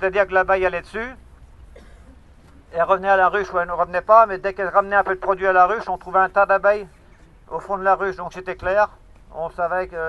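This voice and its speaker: A man with a raised, projected voice, high pitch and monotone, flat intonation, very fast pace broken by long, frequent pauses. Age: 60s. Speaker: beekeeper. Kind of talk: speech to protesters. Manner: halting.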